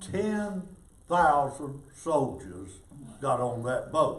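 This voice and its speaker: Audible room echo surrounds a man who speaks at a very slow pace with very wide pitch swings. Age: 80s+. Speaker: war veteran. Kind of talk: storytelling talk to an audience.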